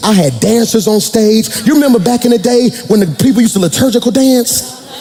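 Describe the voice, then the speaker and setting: A man's animated, lively-toned voice over background music. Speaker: pastor. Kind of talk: sermon. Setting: church with congregation.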